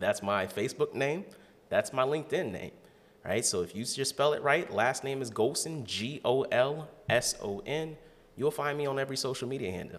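A man with an unremarkable speaking voice, fairly high in pitch, with lively intonation at a moderate pace. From Ohio, Canton. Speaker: financial advisor. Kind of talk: casual interview.

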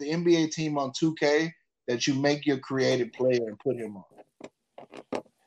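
An American accent marks this man's speech, delivered at a very slow pace. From Texas, Houston area. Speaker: podcast guest. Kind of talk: casual chat.

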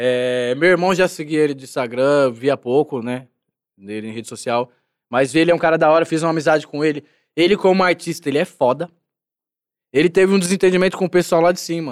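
An unremarkable speaking voice from a man, fairly high-pitched with ordinary pitch variation, a fairly quick pace and big swings in loudness, on a very clean recording with a silent background. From Brasilândia, North Zone of São Paulo, Brazil. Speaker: actor in a TV series. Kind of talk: casual chat.

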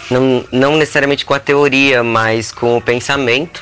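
A man's intonation stays fairly even while music plays behind him. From Rio Grande do Sul, Brazil. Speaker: performance artist and cook. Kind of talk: casual chat.

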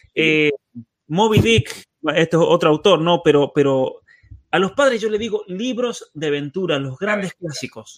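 The sound is dry and close, with no echo. A man speaks at a high pitch and a moderate pace. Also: lively intonation. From Argentina, San Juan. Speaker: podcast host and author. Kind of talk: interview conversation. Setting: remote video call.

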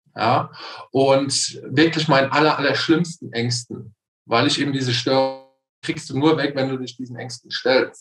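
Monotone, flat intonation in a man's fairly high-pitched voice. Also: moderate pace. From Palatinate, Germany. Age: 30s. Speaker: coaching client. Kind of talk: casual interview.

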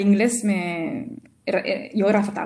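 With a French accent, a woman speaks at a very slow pace and medium pitch. Her tone is dark and mellow, somewhat breathy, with fairly even intonation. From rural central France. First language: French (speaking Spanish). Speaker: French teacher. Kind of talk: interview, casual chat. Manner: halting, with repetitions.

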